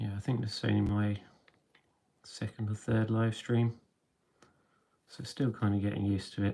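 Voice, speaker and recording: Quiet and dark with a mellow tone, a man's fairly low voice stays monotone and flat at a moderate pace, broken by long, frequent pauses. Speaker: miniature painting streamer. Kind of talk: live stream tutorial chat. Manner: hesitant, many fillers.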